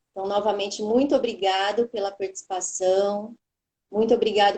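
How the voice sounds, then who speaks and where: The intonation is fairly even. It belongs to a woman. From São Paulo state, Brazil. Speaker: oncology pharmacist, live moderator. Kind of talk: live webinar moderation. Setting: online live stream.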